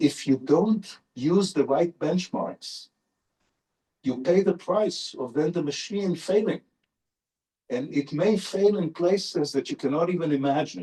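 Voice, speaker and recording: A high-pitched man with an Israeli accent, speaking fairly slowly with ordinary pitch variation. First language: Hebrew. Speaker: neurolinguist professor, invited lecturer. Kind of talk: Q&A answer after lecture.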